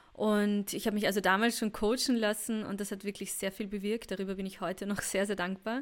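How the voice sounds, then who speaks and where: At a fairly quick pace and with hardly any pauses, a woman speaks at a medium pitch in a monotone, flat intonation. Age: 30s. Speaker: podcast host and women's mentor. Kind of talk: personal podcast monologue.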